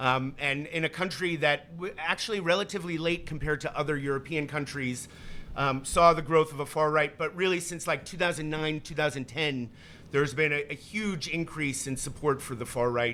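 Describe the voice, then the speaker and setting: Amid noticeable background noise, a man with an American accent speaks fairly quickly in a fairly high voice. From United States. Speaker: event moderator. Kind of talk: moderated public conversation. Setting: live event with audience. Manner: halting, many fillers and restarts.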